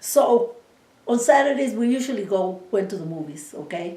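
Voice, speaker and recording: Amid noticeable background noise and audible room echo, a woman with a Spanish accent speaks at a moderate pace with lively intonation. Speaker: interviewee, oral history. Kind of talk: oral history interview.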